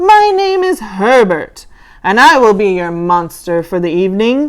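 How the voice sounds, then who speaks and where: A woman puts on a breathy character voice at a medium pitch. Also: moderate pace. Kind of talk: polite, formal.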